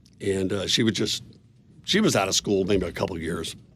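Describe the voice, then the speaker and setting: Noticeable background noise fills the clip. A man speaks over it at a moderate pace. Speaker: business owner. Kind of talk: interview. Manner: loud.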